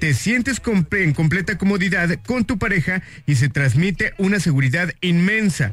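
Lively intonation marks this man's high-pitched voice. He keeps a moderate pace with hardly any pauses and very even loudness. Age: 30s. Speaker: radio host. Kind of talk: casual radio chat.

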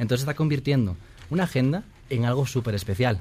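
A man's somewhat breathy voice with ordinary pitch variation. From northern Spain, Asturias. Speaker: author. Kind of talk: interview.

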